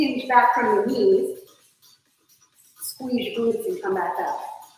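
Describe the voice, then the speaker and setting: In a room with audible echo, a woman speaks fairly slowly in a high voice with very wide pitch swings. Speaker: fitness instructor. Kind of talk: live online workout class instruction. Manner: directive counting cues; slow on purpose.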